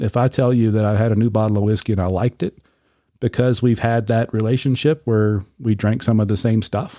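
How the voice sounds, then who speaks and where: In a very clean recording with a silent background and a dry, close sound with no echo, a man with a Southern US accent talks at a fairly quick pace in a dark, mellow tone, keeping very even loudness and fairly even intonation. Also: medium pitch for a man. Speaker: podcast host, whiskey reviewer. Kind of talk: casual chat.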